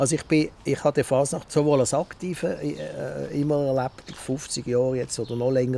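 A man's dark, mellow tone at a fairly quick pace, dry with no echo, over light background noise. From Basel, Switzerland (Kleinbasel); Switzerland. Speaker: radio journalist and media professional; radio journalist. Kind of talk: interview. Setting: outdoors in a garden. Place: garden.

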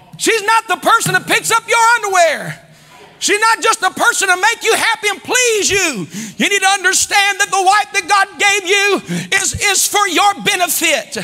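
With an American accent, the speaker uses a raised, projected voice and an animated tone at a fairly slow pace, with ordinary pitch variation against a quiet background. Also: man. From US Midwest. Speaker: pastor. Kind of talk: sermon. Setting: church. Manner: animated, exhorting the congregation with call-and-response; fervent and preacherly, rising in volume and emphasis. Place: church. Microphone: lapel.

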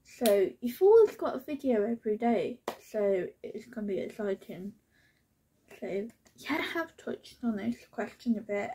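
A woman's dark, mellow voice, lively in intonation, at a fairly slow pace. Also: fairly high pitch for a woman. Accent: British. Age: 20s. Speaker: lifestyle YouTuber. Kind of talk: casual vlog Q&A. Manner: chatty, rambling.

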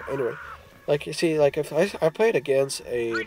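Noticeable background noise runs beneath a voice speaking at a moderate pace. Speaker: mobile game player. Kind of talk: gameplay commentary.

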